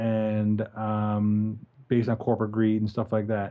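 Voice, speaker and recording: He is a man who speaks with a Newfoundland accent. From Newfoundland, Canada. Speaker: podcast co-host and animation film director. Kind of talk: casual podcast chat.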